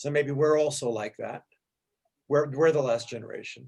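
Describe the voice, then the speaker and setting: A somewhat breathy man speaks at a very fast pace. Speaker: teacher leading a text study. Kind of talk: class discussion on rabbinic texts. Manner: halting, self-correcting.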